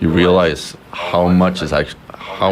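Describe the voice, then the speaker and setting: A speaker with a Swedish accent. Background noise is noticeable throughout. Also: man. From Sweden, Stockholm. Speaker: communication student. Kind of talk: casual chat. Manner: halting, many fillers.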